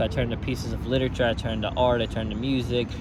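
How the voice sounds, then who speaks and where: A man talks at a very fast pace amid noticeable background noise and audible room echo. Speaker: student. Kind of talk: class presentation discussion.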